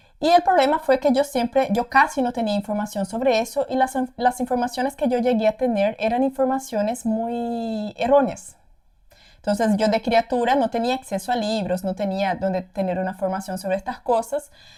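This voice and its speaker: The speech moves at a moderate pace with ordinary pitch variation. It is a very clean recording with a silent background. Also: woman, fairly high pitch for a woman. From Paraguay, Brazilian parents. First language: Portuguese (speaking Spanish). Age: 20s. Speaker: content creator. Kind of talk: casual personal testimony. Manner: hesitant, many repetitions.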